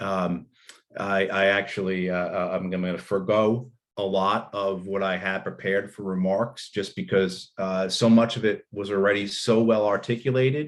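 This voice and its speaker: A man's fairly low voice in a New Jersey accent, with fairly even intonation. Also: moderate pace. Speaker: panelist on US foreign policy. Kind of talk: conference talk. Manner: halting, many fillers and repetitions.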